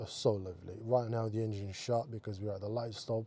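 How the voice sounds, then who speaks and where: The voice is somewhat breathy, with a dark, mellow tone. It moves at a fairly quick pace with monotone, flat intonation. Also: man. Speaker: car vlogger. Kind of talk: casual driving commentary. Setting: in a car. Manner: hesitant, many fillers.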